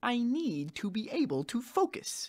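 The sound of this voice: A man's put-on character voice, extremely high-pitched with big pitch swings and a slightly mellow tone. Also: fairly slow pace.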